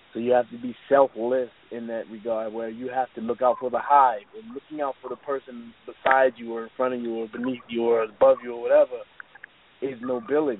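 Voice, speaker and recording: A man with a medium-pitched voice speaks fairly quickly, and his loudness swings widely. Noticeable noise sits in the background. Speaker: podcast co-host. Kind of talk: casual chat. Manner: laid-back; animated.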